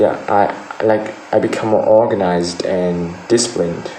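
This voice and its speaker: Through noticeable background noise and audible room echo, a man with a Vietnamese accent talks with monotone, flat intonation. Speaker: IELTS speaking test candidate. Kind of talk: mock speaking exam answers. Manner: halting, with repetitions and fillers.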